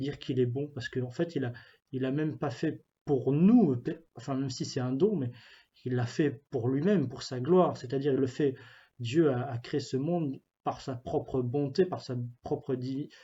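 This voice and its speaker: Somewhat breathy, the voice moves at a moderate pace with ordinary pitch variation. Long, frequent pauses break up the speech. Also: man, medium pitch for a man. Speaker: youth ministry pastoral worker. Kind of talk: spiritual reflection talk. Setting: office. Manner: halting, many fillers and repetitions.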